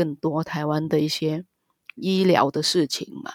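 Recorded very cleanly over a silent background, a woman speaks with a Vietnamese accent. The sound is dry and close with no echo, and her pace is fairly slow. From Vietnam, Ho Chi Minh City. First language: Vietnamese (speaking Chinese). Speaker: marriage immigrant and migrant rights advocate. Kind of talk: interview, personal testimony.

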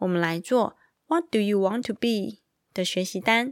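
A woman speaks with lively intonation. The sound is dry and close with no echo, in a very clean recording with a silent background. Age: 30s. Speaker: podcast host. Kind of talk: children's picture book podcast. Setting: recording at home at night. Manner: animated.

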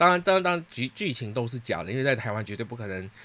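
Bright and sharp in tone, a man talks very fast with lively intonation. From Singapore. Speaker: podcast host. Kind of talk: casual solo monologue.

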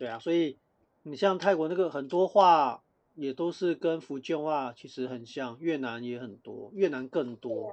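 A man with a plain, everyday voice, fairly high in pitch with ordinary pitch variation, at a fairly slow pace and with big swings in loudness. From Taiwan. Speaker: podcast co-host. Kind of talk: casual chat.

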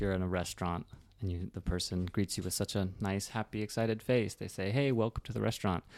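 On a very clean recording with a silent background, a man with an American accent uses an ordinary speaking voice, a fairly low pitch and fairly even intonation. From Reno, Nevada, US. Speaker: podcast host. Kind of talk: casual interview chat.

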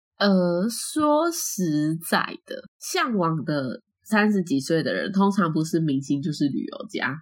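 Somewhat breathy speech moves at a very slow pace with very wide pitch swings, on a very clean recording with a silent background. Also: woman, medium pitch for a woman. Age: 20s. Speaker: podcast co-host. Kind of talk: casual chat.

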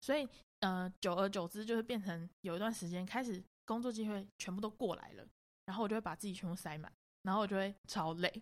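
A woman speaks in a normal speaking voice at medium pitch, moving at a fairly quick pace with ordinary pitch variation. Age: 20s. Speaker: makeup artist and photographer. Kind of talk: casual chat.

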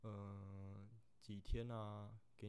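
Audible room echo surrounds a voice with monotone, flat intonation. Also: man. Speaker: third officer on a container ship. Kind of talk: casual Q&A monologue. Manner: hesitant, many fillers.

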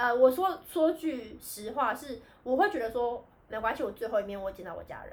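Speaking at a fairly quick pace, a woman uses a high pitch with very wide pitch swings and big swings in loudness. Noticeable background noise sits behind her. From Taiwan. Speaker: podcast co-host, returned overseas student. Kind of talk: casual chat.

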